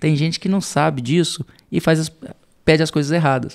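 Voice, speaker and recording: With a strong rural Minas Gerais accent, a man speaks at a fairly quick pace. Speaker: entrepreneur, CEO. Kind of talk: podcast interview. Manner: casual, hesitant with repetitions.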